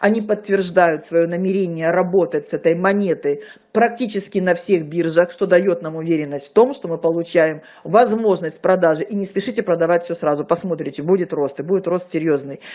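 Fairly quick in pace, a woman's fairly low voice has a dark, mellow tone and ordinary pitch variation.

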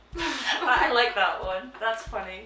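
Light background noise with audible room echo. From Shetland, Scotland. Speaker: vlogger. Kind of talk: casual reaction, reading questions aloud. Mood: amused, laughing. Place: home room. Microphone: camera far.

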